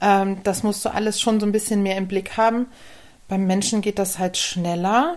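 Using a plain, everyday voice, a woman speaks at a moderate pace and medium pitch with fairly even intonation. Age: 40s. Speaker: physiotherapist for humans and dogs. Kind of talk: casual interview.

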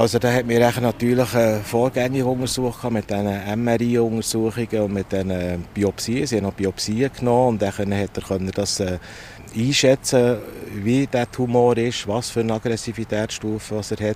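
Noticeable background noise behind a man of medium pitch, with a moderate pace and fairly even intonation. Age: 60s. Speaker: veterinarian, cancer patient. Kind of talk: interview testimony. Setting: outdoors at a train station bench.

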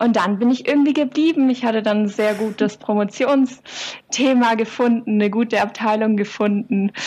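Over noticeable background noise, a woman with a fairly high pitch talks at a moderate pace with hardly any pauses, fairly even intonation and very even loudness. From southern Germany, Swabian Jura. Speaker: psychologist and doctoral researcher. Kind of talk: interview. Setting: video call.

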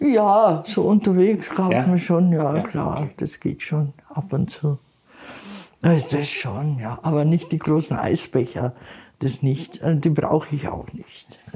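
Speaking very slowly, a woman uses a very deep, low pitch with lively intonation. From Bavaria, Chiemgau. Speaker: retiree living in poverty. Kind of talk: interview.

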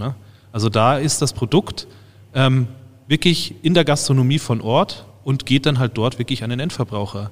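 A man's normal speaking voice at medium pitch and a moderate pace. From Bavaria (Freising/Munich area). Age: 30s. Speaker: university researcher, head of a test lab for beer dispensing systems. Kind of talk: casual expert interview.

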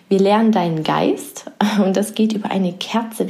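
A woman with an unremarkable speaking voice talks at a fairly slow pace, with a medium pitch and ordinary pitch variation. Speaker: podcast host and coach. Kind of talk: guided meditation. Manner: slow, soothing, calm, soft-spoken; gentle, pausing, hushed.

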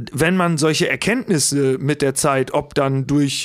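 Recorded very cleanly against a silent background, a man uses a plain, everyday voice at a moderate pace with fairly even intonation. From Lower Saxony, south of Osnabrück. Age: 30s. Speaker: comedian and musician. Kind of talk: casual chat.

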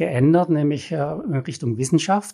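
In a very clean recording with a silent background, a man speaks at a moderate pace in a dark, mellow, somewhat breathy tone, fairly high in pitch with ordinary pitch variation. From Swabia, Baden-Württemberg. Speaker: cave rescuer and geoscientist. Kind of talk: interview.

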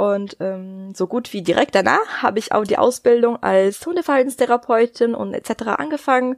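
A plain, everyday voice from a woman, fairly high in pitch, at a moderate pace with lively intonation and hardly any pauses. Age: 20s. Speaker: dog nutrition consultant and veterinary assistant. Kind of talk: interview.

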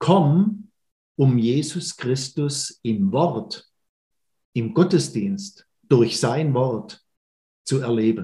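Dark and mellow in tone and somewhat breathy, the voice moves at a very slow pace with long, frequent pauses. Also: man. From Baden-Württemberg, Schwenningen. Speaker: church minister. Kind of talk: podcast interview. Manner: hesitant fillers.

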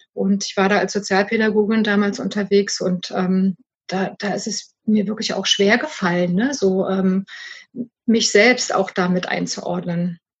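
A woman speaks at a fairly slow pace and a medium pitch. Her voice is somewhat breathy, with fairly even intonation. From East Germany. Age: 50s. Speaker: supervisor and business coach. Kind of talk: casual interview chat. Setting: garden summerhouse.

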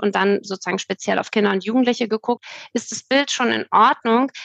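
A woman talks at a moderate pace with ordinary pitch variation and an ordinary speaking voice. The sound is dry and close with no echo, over a quiet background. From Hamburg, northern Germany. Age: 30s. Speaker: nonprofit founder in financial education. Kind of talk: podcast interview.

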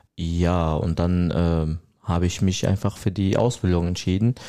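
A man with a very deep, low pitch and a dark, mellow tone is heard on a very clean recording against a silent background. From Syria. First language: Arabic (speaking German). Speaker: trainee hairdresser. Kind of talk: interview.

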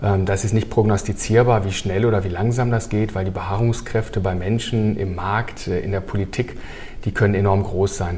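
Over noticeable background noise and audible room echo, a man speaks at a moderate pace in a fairly low pitch with fairly even intonation. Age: 50s. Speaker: heat pump company executive. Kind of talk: casual interview.

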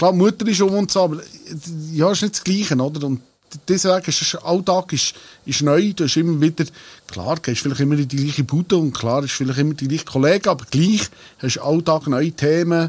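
A man talks at a fairly quick pace in an ordinary speaking voice, fairly high in pitch. His pitch variation is ordinary. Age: 40s. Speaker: singer of a dialect band. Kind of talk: casual chat. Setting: band rehearsal room.

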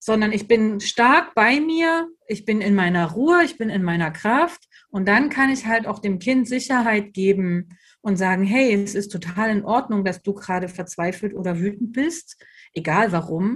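A woman's somewhat breathy voice, fairly high in pitch, with lively intonation at a fairly slow pace over a quiet background. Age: 30s. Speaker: educator and trainer for childcare staff. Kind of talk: interview.

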